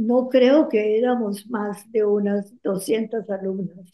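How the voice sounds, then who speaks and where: At a very slow pace, a woman speaks at a medium pitch. Her intonation stays fairly even. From Colombia, Cali. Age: 80s+. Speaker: interview guest, retired poet. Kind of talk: interview, reminiscing. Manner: halting, with hesitations.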